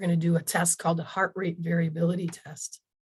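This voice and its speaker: Somewhat breathy and fairly low in pitch, a woman speaks at a moderate pace. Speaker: natural health practitioner. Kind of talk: webinar presentation.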